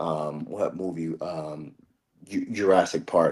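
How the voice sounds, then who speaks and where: A man speaks. He has a Spanish accent. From El Salvador, moved to US at age 8. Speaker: card game player. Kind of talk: casual chat.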